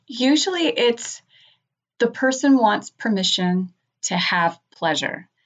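Over music in the background, a woman speaks very slowly at a fairly high pitch, her pitch swinging very widely. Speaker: clinical sexologist. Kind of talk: interview.

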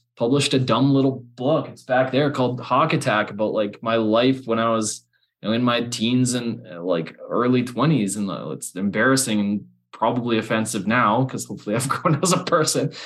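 A man with a Canadian accent talks at a fairly quick pace in an unremarkable speaking voice. His pitch is medium and varies in an ordinary way. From Alberta, Canada. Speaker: copywriter and business founder. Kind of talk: casual chat.

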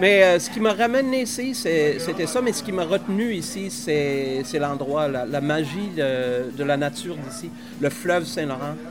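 A man's fairly high voice at a fairly slow pace, with very wide pitch swings, audible room echo and noticeable background noise. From northern Saskatchewan, Canada. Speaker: microbrewery owner. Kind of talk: casual interview. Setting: microbrewery on location.

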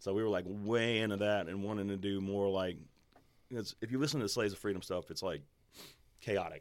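With a Louisiana accent, a man speaks at a fairly low pitch and with fairly even intonation, taking long, frequent pauses. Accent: Louisiana Southern American. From Louisiana, Baton Rouge area. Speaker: musician. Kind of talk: casual chat.

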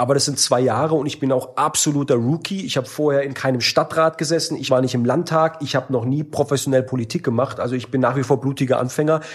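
Speaking at a very fast pace with hardly any pauses, a man with a fairly high pitch keeps his intonation fairly even and his voice somewhat breathy. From Baden-Württemberg, Germany. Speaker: member of parliament. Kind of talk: interview. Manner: casual, many fillers.

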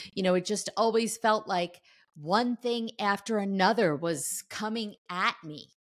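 A normal speaking voice with ordinary pitch variation. The recording is very clean, with a silent background. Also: woman, medium pitch for a woman, fairly slow pace. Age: 60s. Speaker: author and entrepreneur. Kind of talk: interview testimony.

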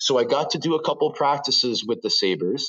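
A man with a Canadian accent, fairly high pitch, vocal fry, lively intonation and moderate pace. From Toronto, Canada (Scarborough). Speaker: retired hockey player. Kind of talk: interview. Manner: animated.

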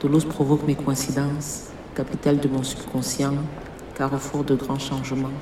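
A woman's very deep, low voice amid noticeable background noise and audible room echo. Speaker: poet. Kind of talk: poetry reading. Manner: slow.

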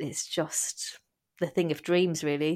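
A woman with an English accent, very deep and low in pitch, at a moderate pace, with monotone, flat intonation, on a very clean recording with a silent background. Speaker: guest sharing fertility journey. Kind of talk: testimony.

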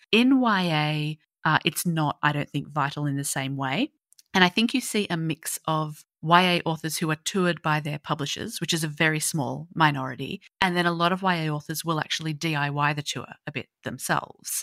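A woman with an Australian accent speaks at a very deep, low pitch in a bright, sharp tone, at a moderate pace with ordinary pitch variation. The sound is dry and close with no echo, and the recording is very clean with a silent background. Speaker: young adult fiction author. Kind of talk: casual interview chat.

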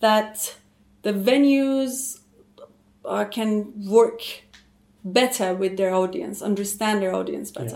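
A woman with a Persian accent speaks at a very slow pace, with long, frequent pauses. Her pitch is fairly high, with ordinary variation. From Iran. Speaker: theatre actress and cultural manager. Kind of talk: conversational interview.

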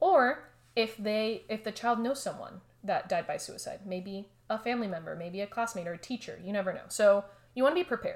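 A woman with a normal speaking voice and an American accent, fairly high in pitch, with lively intonation and a fairly quick pace. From Miami, Florida. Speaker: counseling psychology researcher. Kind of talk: expert interview.

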